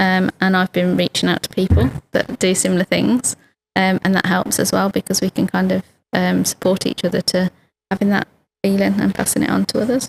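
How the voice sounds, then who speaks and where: Speaking fairly quickly in a British accent, a woman keeps a very even loudness in a dry, close recording with no echo. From United Kingdom. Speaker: lawyer and human rights activist. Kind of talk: podcast interview answer.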